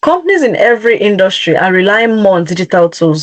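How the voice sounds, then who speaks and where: With lively intonation and a fairly high pitch, a woman talks at a moderate pace in a plain, everyday voice. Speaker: career coach presenting a webinar. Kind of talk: webinar presentation.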